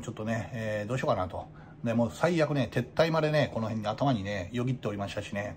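This man's voice is medium-pitched and somewhat breathy, with ordinary pitch variation. He talks at a very fast pace. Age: 40s. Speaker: izakaya owner. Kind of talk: casual vlog monologue. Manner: many fillers and hesitations.

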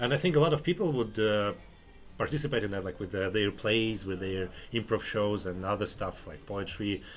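The speech comes at a fairly quick pace in a Russian accent. Its intonation is lively. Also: man, fairly low pitch for a man. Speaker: podcast host and comedian. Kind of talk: casual chat. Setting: anti cafe.

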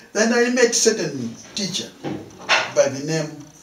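A man's high voice with very wide pitch swings over noticeable background noise. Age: 60s. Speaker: painter; interviewee. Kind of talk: interview. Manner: halting. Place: home room. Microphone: camera far.

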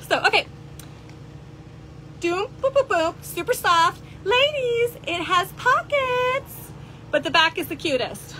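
With music in the background, a woman speaks at an extremely high pitch with very wide pitch swings, at a very slow pace and with long, frequent pauses. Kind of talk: live shopping stream chat. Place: shop. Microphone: phone near.

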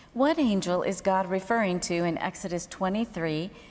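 A woman speaks at a fairly slow pace in a medium pitch, with ordinary pitch variation. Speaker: co-host reading Bible questions. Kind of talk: reading aloud. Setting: stage with audience. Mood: calm, measured. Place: studio. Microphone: lapel.

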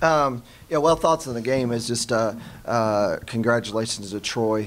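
A man speaks at a fairly slow pace with an American accent. There is light background noise. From US South. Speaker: college basketball head coach. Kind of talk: post-game press conference. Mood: subdued after a loss. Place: meeting room. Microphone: podium.

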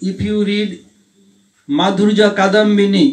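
In an Indian accent, a man talks very slowly at a high pitch. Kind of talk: spiritual Q&A talk. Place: home room. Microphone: handheld.

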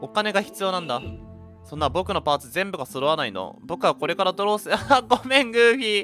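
With music playing behind him, a man with a high pitch speaks in a raised, projected voice at a fairly quick pace, his pitch swinging very widely. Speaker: VTuber game streamer. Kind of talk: casual game commentary.

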